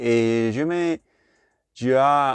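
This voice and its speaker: A man with a Puerto Rican accent, ordinary pitch variation, a dry, close sound with no echo, and a quiet background. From Puerto Rico. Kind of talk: casual talk to camera. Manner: hesitant, non-native French with English fillers.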